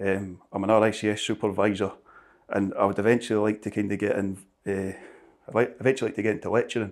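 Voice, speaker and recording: In a very clean recording with a silent background, a man with a Scottish accent speaks very fast at a fairly low pitch in a monotone, flat intonation. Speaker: building surveyor. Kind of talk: interview. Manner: halting.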